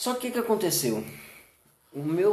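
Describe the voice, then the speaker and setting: There is audible room echo as a man speaks. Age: 30s. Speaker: comedian and comedy producer. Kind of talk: casual chat.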